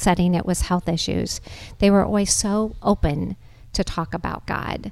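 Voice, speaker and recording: With an American accent, a woman uses a plain, everyday voice at medium pitch, talking at a moderate pace with ordinary pitch variation. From Nebraska, US Midwest. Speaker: charity executive director. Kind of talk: interview on a facility tour. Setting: on location at a community center.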